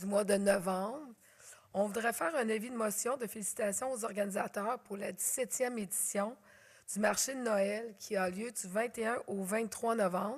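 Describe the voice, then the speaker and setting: Loud and fairly high-pitched, a woman speaks with a Quebec accent. Her pace is fairly slow. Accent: Québécois French. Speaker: mayor chairing council meeting. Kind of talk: council meeting chairing. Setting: council chamber with audience, filmed.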